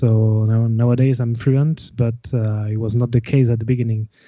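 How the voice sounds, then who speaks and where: A man speaks at a medium pitch and a moderate pace, his intonation monotone and flat. His tone is dark and mellow, set against a quiet background. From France, Gascony. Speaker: folk metal musician and winemaker. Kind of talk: casual interview chat. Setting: live video call. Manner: halting, many fillers.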